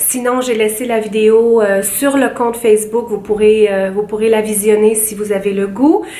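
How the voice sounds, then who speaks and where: Fairly even intonation at a fairly slow pace, over noticeable background noise. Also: woman. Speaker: beauty vlogger. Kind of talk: casual vlog talk to camera. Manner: hesitant, many fillers.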